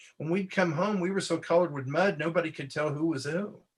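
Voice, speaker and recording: Very fast, high-pitched speech from a man, with ordinary pitch variation. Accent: American. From Southern California. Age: 70s. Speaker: comics artist. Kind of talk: casual chat.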